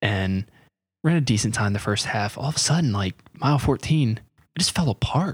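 On a very clean recording with a silent background, a man with an American accent talks fairly quickly at medium pitch, somewhat breathy and with lively intonation. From US South, North Carolina. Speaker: podcast host and runner. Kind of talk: casual chat.

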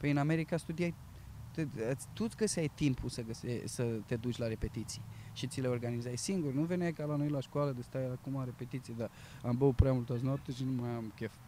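The man's tone is dark and mellow, with ordinary pitch variation. He talks at a fairly quick pace. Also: medium pitch for a man. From Romania, Bucharest. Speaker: actor working in retail. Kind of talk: interview. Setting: outdoors in a park.

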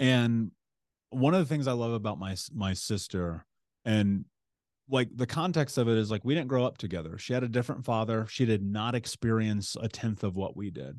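A man at a medium pitch speaks at a moderate pace with a Midwestern American accent. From US Midwest (Indianapolis, Indiana). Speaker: author, coach and motivational speaker. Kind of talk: interview conversation.

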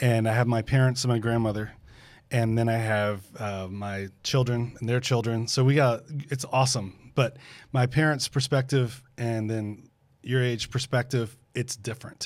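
In a very clean recording with a silent background, a man with an unremarkable speaking voice talks at a moderate pace, medium pitch, and fairly even intonation. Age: 50s. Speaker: pastor. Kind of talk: casual chat.

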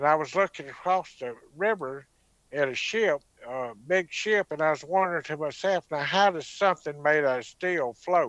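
Moderate pace and ordinary pitch variation in a Southern US accent, with a dry, close sound and no echo. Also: man, fairly high pitch for a man. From US South (Mississippi). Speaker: alien abduction witness and author. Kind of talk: testimony.

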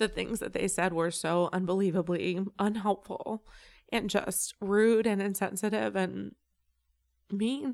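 Fairly even intonation runs through a normal speaking voice. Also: woman. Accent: American. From Illinois (Champaign). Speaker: comedian and web series creator. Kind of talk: casual interview chat.

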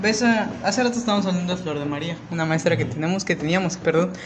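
Someone with a Mexican accent speaks over noticeable background noise. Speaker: podcast co-host. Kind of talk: casual chat.

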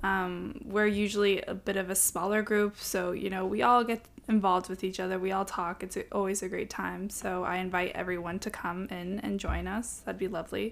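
In a very clean recording with a silent background, a woman uses a normal speaking voice at medium pitch with fairly even intonation. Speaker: student leader. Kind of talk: interview.

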